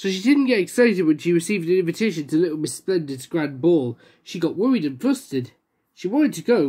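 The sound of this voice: This is an unforced reading voice with lively intonation. The background stays quiet.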